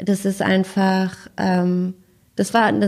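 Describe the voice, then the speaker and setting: A woman speaks at a medium pitch in a somewhat breathy, flat monotone, recorded very cleanly against a silent background. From Freiburg, southwestern Germany. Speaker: agency co-founder and CEO. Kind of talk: casual interview. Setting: in person at a PR agency office.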